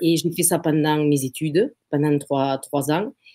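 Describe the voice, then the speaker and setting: A woman at a fairly slow pace. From southern France, Occitanie (between Béziers and Sète). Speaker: real estate agency founder. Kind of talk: interview. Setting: live video stream. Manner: hesitant, many fillers and repetitions.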